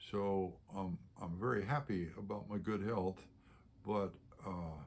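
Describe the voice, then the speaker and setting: Here a man speaks at a very slow pace. His pitch is fairly low. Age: 80s+. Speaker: elderly vlogger reflecting on life. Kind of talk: personal reflection monologue. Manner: hesitant, with frequent uh fillers.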